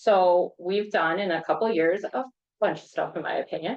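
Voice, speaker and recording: With normal pitch movement, a woman speaks at a medium pitch. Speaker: trail planning consultant. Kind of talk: public meeting presentation. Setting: village board meeting with audience. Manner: loud.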